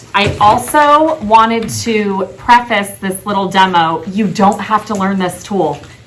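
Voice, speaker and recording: Against noticeable background noise and audible room echo, a woman speaks at a medium pitch. Her pace is fairly slow and her intonation lively. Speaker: title company representative. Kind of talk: training presentation. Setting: team training meeting recorded on video call.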